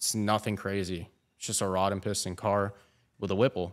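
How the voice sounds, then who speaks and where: A man speaks at a fairly low pitch with monotone, flat intonation. The background is quiet. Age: 20s. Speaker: car content creator. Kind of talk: casual chat. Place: garage. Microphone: studio mic.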